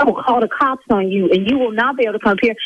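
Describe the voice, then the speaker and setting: This woman has an American accent and a lively intonation. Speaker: lash salon owner, prank call target. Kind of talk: phone call argument. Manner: loud.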